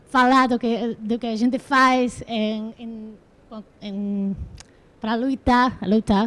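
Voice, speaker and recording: This woman speaks with fairly even intonation. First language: neither English nor Portuguese. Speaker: panelist at climate event. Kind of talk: panel talk. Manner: halting.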